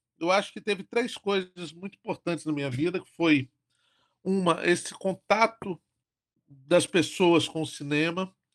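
A high-pitched man at a fairly slow pace, ordinary pitch variation, dry, close sound with no echo, and a quiet background. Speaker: horror film director and producer. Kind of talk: podcast interview.

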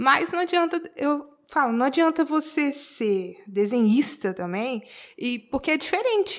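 A woman speaks fairly slowly in a high voice. Her pitch swings very widely. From Brazil, Belo Horizonte, Minas Gerais. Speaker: tattoo artist. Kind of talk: casual interview.

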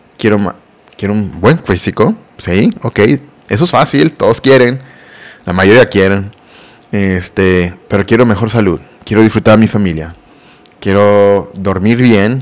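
A man's fairly low voice at a fairly slow pace, with ordinary pitch variation, long, frequent pauses and noticeable background noise. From Mexico. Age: 30s. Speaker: fitness trainer and podcast host. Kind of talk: casual solo podcast monologue. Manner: halting, many repeated words and fillers.

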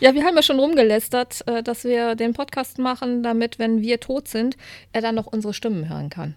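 This is a woman with a normal speaking voice, pitched fairly high and moving at a moderate pace. Her intonation is lively, and the recording is very clean with a silent background. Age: 40s. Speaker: podcast co-host. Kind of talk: casual chat. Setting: home living room.

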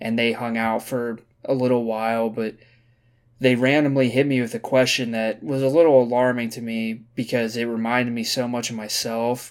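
Over a silent background in a very clean recording, the voice moves at a moderate pace with monotone, flat intonation. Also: man. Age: 20s. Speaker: solo podcaster. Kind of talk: casual monologue. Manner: casual, slangy.

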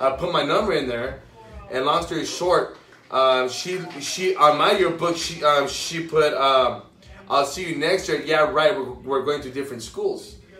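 A man at a fairly high pitch and moderate pace, ordinary pitch variation, with noticeable background noise. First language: Spanish. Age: 20s. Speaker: guest, financial advisor. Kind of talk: casual interview chat. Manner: casual, repeats words, stutters.

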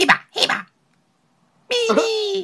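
This is a put-on character voice. It is squeaky, with an extremely high pitch. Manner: chattering nonsense sounds.

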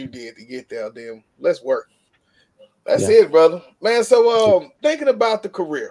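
Here a man talks at a moderate pace in a fairly high voice with a dark, mellow tone. His pitch swings very widely. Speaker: video show host. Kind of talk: casual interview. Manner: animated.

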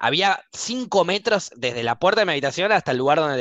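In a Buenos Aires accent, the speaker moves at a fairly quick pace with very wide pitch swings. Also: man. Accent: Rioplatense Spanish (Buenos Aires). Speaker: podcast host. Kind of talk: casual chat. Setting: live stream recording.

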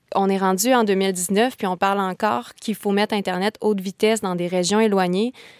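A woman with a Quebec accent, medium pitch and fairly even intonation, at a fairly quick pace with hardly any pauses, on a very clean recording with a silent background and a dry, close sound with no echo. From Quebec, Kamouraska. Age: 20s. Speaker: law student. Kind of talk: panel discussion.

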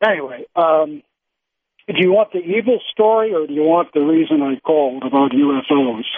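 A man speaks in an unremarkable speaking voice. His pitch sits fairly high and his intonation is lively. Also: moderate pace. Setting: Skype call.

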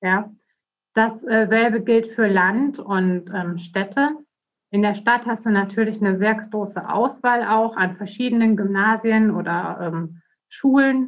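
A woman's medium-pitched voice, very slow and fairly even in intonation. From Bavaria, Germany. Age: 30s. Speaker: politician, election candidate. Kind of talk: interview.

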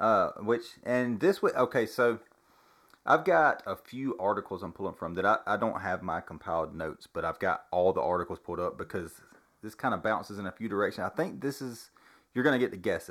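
An unremarkable speaking voice from a man, fairly low in pitch, at a fairly quick pace. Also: lively intonation. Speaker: podcast host. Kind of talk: casual chat. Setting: home recording with one microphone.

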